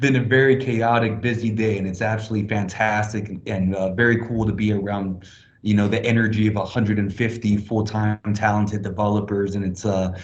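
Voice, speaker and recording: With audible room echo, a man speaks fairly quickly at a fairly low pitch in a monotone, flat intonation, with hardly any pauses. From Hong Kong. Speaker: blockchain project presenter. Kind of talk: online presentation. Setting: video call from a small office closet.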